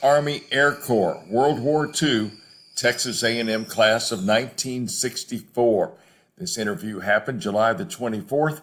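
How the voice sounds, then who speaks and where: A man with a plain, everyday voice talks at a fairly slow pace, his medium pitch carried by lively intonation over a very clean recording with a silent background. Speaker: interviewer, radio host. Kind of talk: program introduction.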